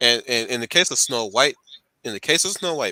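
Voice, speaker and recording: A man's medium-pitched voice in a Southern US accent, bright and sharp in tone with lively intonation, dry and close with no echo on a very clean recording with a silent background. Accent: choppy Southern. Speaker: channel host, commentator. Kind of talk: casual group discussion. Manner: halting, frequent repetitions.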